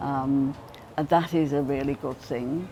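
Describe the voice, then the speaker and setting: Speaking at a fairly slow pace, a woman with a very deep, low pitch uses monotone, flat intonation, vocal fry, and a dark, mellow tone. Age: old. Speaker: community centre committee member. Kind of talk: interview answer.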